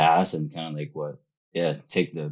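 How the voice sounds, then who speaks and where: A man's very deep, low voice comes through at a moderate pace. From Philippines. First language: Filipino language. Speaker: real estate investor. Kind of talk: podcast interview.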